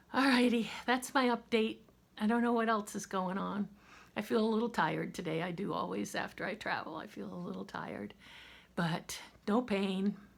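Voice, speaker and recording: A woman with an American accent speaks at medium pitch and a moderate pace, with vocal fry and ordinary pitch variation, in a very clean recording with a silent background. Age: 60s. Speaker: vlogger. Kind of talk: casual chat.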